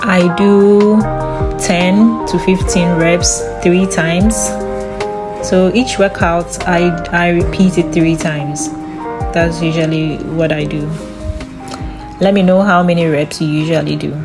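Over music in the background, a woman speaks at a fairly slow pace with long, frequent pauses. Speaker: fitness vlogger. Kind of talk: casual vlog narration.

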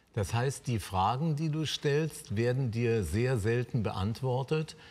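At a fairly slow pace, a man speaks in a somewhat breathy voice with lively intonation. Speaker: talk show host. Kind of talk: interview question. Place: studio.

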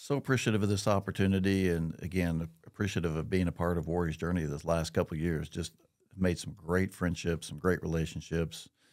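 Against a quiet background, someone with a Midwestern American accent talks at a fairly quick pace with fairly even intonation. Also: man, very deep, low pitch for a man. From Missouri, Marshfield; Missouri. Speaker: business executive; podcast guest. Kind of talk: casual interview. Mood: grateful, sincere. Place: studio. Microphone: studio mic.

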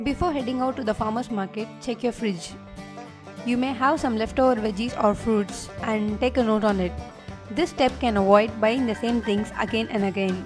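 Music plays in the background as a woman with a fairly high voice talks at a moderate pace, her pitch varying in an ordinary way. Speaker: lifestyle blogger. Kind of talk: tips video narration.

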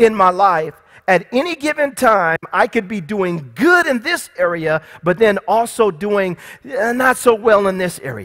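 Over a quiet background, a man speaks at a fairly slow pace. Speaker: pastor. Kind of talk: sermon. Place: church.

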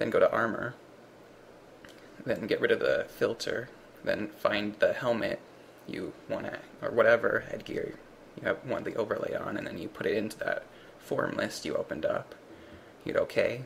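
Noticeable background noise sits under speech at a moderate pace broken by long, frequent pauses. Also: man. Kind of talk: software tutorial narration.

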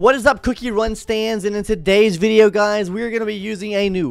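Faint music plays behind a man who speaks at a fairly quick pace in a dry sound with no echo. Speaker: gaming content creator. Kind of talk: casual gaming tutorial. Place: home room. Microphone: studio mic.

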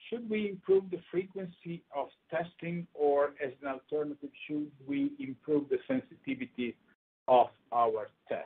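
Speaking at a fairly slow pace in an Italian accent, a man uses a high pitch with very wide pitch swings. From Italy, Emilia-Romagna. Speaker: microbiology professor. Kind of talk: lecture. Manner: halting.

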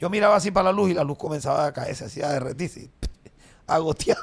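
A man's animated tone at a high pitch. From Colombia. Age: 50s. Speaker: comedian. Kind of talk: casual chat. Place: studio. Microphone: studio mic.

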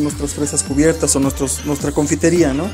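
A man talks with clear music in the background. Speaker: interviewee. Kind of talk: interview answer. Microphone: handheld.

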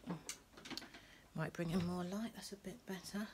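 Soft-spoken delivery at a moderate pace, with noticeable background noise. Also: woman. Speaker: lifestyle vlogger. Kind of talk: casual vlog chat. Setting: at home. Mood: relaxed, chatty. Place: home room.

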